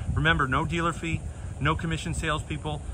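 The speaker is a man. Noticeable background noise is present. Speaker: car salesperson. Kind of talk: vehicle walkaround commentary. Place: street. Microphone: phone near.

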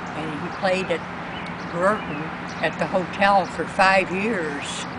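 Loud background noise sits under a dry sound with no echo. A woman speaks at a very slow pace with fairly even intonation. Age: 80s+. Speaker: interviewee. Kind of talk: interview answer. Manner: hesitant. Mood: warm, reminiscing. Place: garden. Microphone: camera far.

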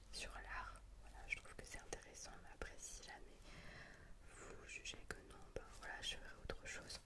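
A woman talks at a fairly slow pace. Loud background noise is heard behind her. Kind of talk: casual vlog outro chat. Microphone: studio mic.

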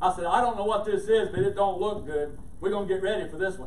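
Through light background noise and audible room echo, a man talks very fast at a high pitch. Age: old. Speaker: pastor. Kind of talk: sermon. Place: church.

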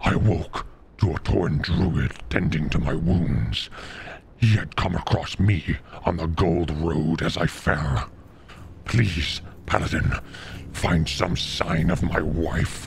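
A man talks in a put-on character voice pitched very deep and low, with long, frequent pauses. Background noise is clearly audible. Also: fairly slow pace. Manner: pleading.

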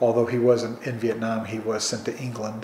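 Over noticeable background noise, a man at a medium pitch speaks with a northern US accent. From Chicago suburbs, Illinois. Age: 60s. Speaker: oral history interviewee. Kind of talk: oral history interview.

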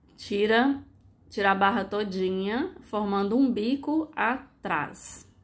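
A woman's fairly high voice at a very slow pace, in a Brazilian accent. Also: ordinary pitch variation, very clean recording, silent background. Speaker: sewing youtuber. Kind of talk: tutorial. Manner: casual instructive.

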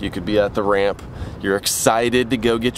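The sound is dry, with no echo. A man speaks over noticeable background noise. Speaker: fishing video creator. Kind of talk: casual vlog chat. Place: open country. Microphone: phone near.

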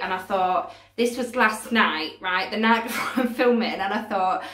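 Against a quiet background, a woman speaks at a moderate pace with audible room echo. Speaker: craft vlogger. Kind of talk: casual vlog chat. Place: home room. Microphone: phone near.

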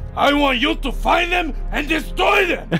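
A man performs a put-on character voice at an extremely high pitch and moderate pace. Clear background noise can be heard. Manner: yelling.

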